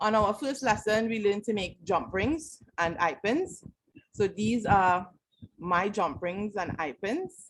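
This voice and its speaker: A woman with a normal speaking voice talks at a fairly slow pace, medium in pitch with lively intonation. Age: 30s. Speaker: student presenting coursework. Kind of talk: class presentation.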